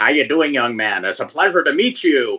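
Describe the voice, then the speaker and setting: A put-on character voice at a moderate pace. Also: man. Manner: courteous, warm.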